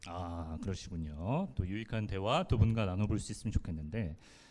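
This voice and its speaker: Here a man with a dark, mellow tone speaks at a moderate pace. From Daejeon, South Korea. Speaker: radio announcer and event host. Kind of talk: live public event hosting. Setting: stage with audience.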